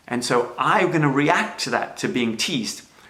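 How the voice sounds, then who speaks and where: Audible room echo surrounds a man whose fairly high-pitched voice carries lively intonation. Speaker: self-help speaker. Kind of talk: livestream talk. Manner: hesitant fillers.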